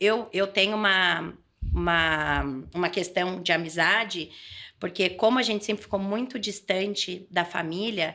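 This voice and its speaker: A woman with a São Paulo interior accent talks at a fairly slow pace, her tone bright and sharp and her intonation fairly even, on a very clean recording with a silent background. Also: medium pitch for a woman. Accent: caipira accent (rural São Paulo). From interior of São Paulo state, Brazil (Adamantina). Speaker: political leader and trainer. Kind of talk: podcast interview. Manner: halting, with frequent repetitions.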